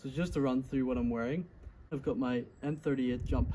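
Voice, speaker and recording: Noticeable background noise sits behind a man's very fast speech. His voice carries vocal fry. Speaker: reenactor showing his kit. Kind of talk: casual explanatory show-and-tell. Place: garden. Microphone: phone near.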